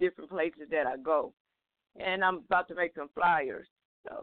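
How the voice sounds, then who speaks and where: Fairly low in pitch with ordinary pitch variation, this woman has a plain, everyday voice. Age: 50s. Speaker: caller, hospital supervisor. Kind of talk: call-in conversation. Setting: phone call.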